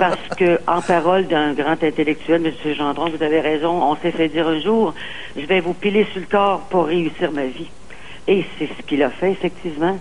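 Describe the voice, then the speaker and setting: With an ordinary speaking voice, a woman talks at a fairly slow pace with hardly any pauses, her fairly low pitch carrying fairly even intonation. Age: 60s. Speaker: caller. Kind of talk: call-in talk show.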